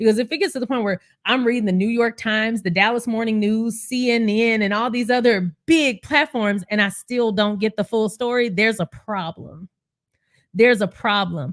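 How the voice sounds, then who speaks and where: Animated woman's voice with an American accent, fairly high in pitch with ordinary pitch variation, at a moderate pace, with a dry, close sound with no echo and a very clean recording with a silent background. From Texas. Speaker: YouTube commentator on royal news. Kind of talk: live stream commentary.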